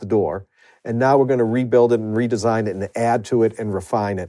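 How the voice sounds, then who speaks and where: Over a quiet background, a man with a Boston accent talks at a very fast pace in a dark, mellow tone. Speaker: university administrator and professor. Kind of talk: interview, conversational.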